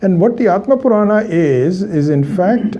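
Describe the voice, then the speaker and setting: A somewhat breathy man with an Indian accent, a dark, mellow tone, very wide pitch swings, and audible room echo. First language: Hindi. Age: 60s. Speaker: Vedanta teacher. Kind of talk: lecture. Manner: halting, many fillers.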